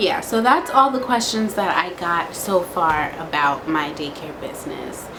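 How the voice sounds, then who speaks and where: A woman speaks at a medium pitch with very wide pitch swings, at a fairly slow pace with hardly any pauses. Noticeable background noise runs under her voice. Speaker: vlogger and home daycare owner. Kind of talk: casual vlog Q&A. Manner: slow, rambling.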